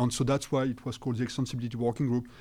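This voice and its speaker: A man with a French accent, a medium pitch and a dark, mellow tone. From France. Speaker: networking researcher. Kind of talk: interview.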